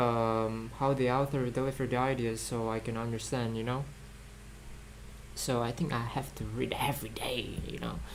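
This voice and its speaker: Moderate pace in a non-native accent. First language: not English. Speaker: student vlogger studying for IELTS. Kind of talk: casual study vlog monologue. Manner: halting, many fillers and repeats.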